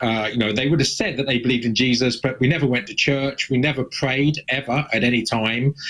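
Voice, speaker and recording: Over noticeable background noise, the speaker talks at a moderate pace in an English accent with ordinary pitch variation. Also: man. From southern England, Suffolk. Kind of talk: interview testimony.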